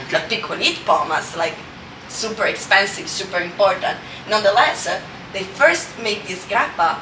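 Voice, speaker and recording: With noticeable background noise and audible room echo, a woman with an Italian accent talks at a moderate pace, her medium pitch showing ordinary variation. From Italy, Friuli region. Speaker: grappa brand ambassador. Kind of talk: interview. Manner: halting, many fillers; passionate.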